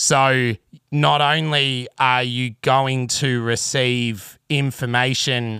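Recorded very cleanly against a silent background, this bright, sharp voice with a rural Australian accent sounds dry and close with no echo, its intonation fairly even. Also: man. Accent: broad rural Australian (bogan). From Australia, country Victoria (Traralgon). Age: 30s. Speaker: podcast host, bass player and rigger. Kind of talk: solo monologue, casual storytelling.

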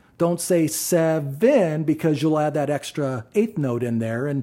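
A man speaks with a dark, mellow tone at a fairly high pitch. His pitch variation is ordinary and his pace fairly slow. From Ohio, Athens. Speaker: drummer. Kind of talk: casual chat.

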